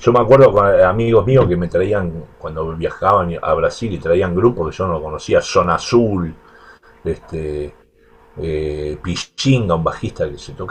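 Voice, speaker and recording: Very deep and low in pitch, a man speaks at a fairly slow pace with ordinary pitch variation and big swings in loudness. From Argentina, Buenos Aires. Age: 60s. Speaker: bass player. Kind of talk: interview.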